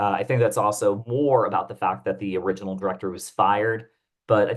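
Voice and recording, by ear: Natural-voiced reading aloud against a quiet background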